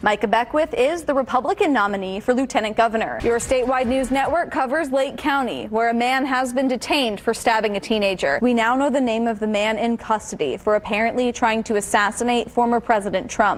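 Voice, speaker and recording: With noticeable background noise behind her, a woman with a fairly high pitch speaks at a fairly quick pace, with hardly any pauses and ordinary pitch variation. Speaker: TV news anchor. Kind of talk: news anchor montage.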